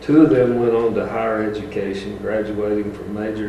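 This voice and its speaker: A man's fairly low voice at a very fast pace, with fairly even intonation, audible room echo and noticeable background noise. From Tennessee mountains. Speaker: retired school bus driver. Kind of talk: reading aloud a prepared speech. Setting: school board meeting.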